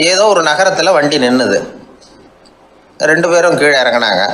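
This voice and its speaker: A man's voice with lively intonation. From Tamil Nadu, India. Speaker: radio broadcaster. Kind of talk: anecdotal storytelling talk. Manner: simple colloquial, easy style.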